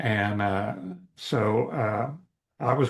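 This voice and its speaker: Medium pitch from a man, with monotone, flat intonation. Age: 70s. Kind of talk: interview. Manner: hesitant, many fillers.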